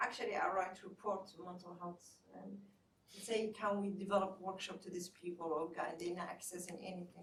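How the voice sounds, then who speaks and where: A woman's somewhat breathy, medium-pitched voice, monotone and flat, at a fairly quick pace with big swings in loudness. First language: Somali. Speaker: therapist and community mental health advocate. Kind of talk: panel discussion. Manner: halting.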